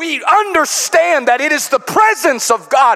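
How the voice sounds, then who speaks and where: An animated, playful male voice with very wide pitch swings over noticeable background noise. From US Midwest, Chicago. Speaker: pastor. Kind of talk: revival sermon at an evening youth service, building toward an exhortation. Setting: church with live congregation. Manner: playful asides and call-and-response with the congregation; animated, rhythmic preaching with rising rhetorical questions.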